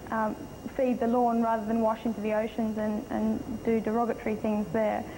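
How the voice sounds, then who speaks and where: With an Australian accent, a woman speaks at a fairly quick pace in a fairly high pitch. Her delivery is monotone and flat with very even loudness, against noticeable background noise. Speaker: beauty pageant contestant. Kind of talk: interview.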